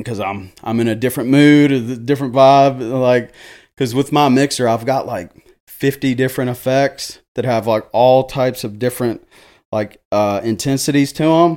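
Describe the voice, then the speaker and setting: In a Tennessee accent, a man speaks at a medium pitch and moderate pace with fairly even intonation, recorded very cleanly against a silent background. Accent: Southern US (Tennessee). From Jackson, Tennessee (US South). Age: 30s. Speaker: DJ. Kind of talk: casual chat. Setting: studio.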